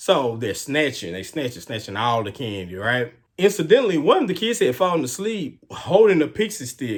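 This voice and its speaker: In a very clean recording with a silent background, a man with a Houston accent speaks at a moderate pace with hardly any pauses, using a fairly high pitch, very wide pitch swings, big swings in loudness and vocal fry. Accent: Southern US (Houston). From US South, Houston, Texas. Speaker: true crime YouTuber. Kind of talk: casual storytelling. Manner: animated.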